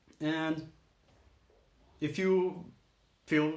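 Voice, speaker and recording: A man is speaking. His voice carries an audible room echo. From Brazil. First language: Portuguese. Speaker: aspiring voice actor, channel host. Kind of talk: casual vlog monologue. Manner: casual, rambling with self-corrections.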